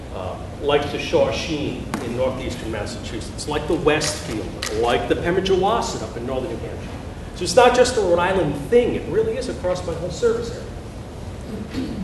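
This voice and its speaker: The loudness swings widely at a moderate pace. Noticeable background noise and audible room echo are present. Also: man. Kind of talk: lecture. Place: hall.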